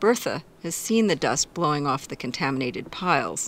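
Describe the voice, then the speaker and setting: A woman speaks at a moderate pace with a very deep, low pitch and vocal fry. Her pitch swings very widely. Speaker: radio producer reporter. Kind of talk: scripted narration.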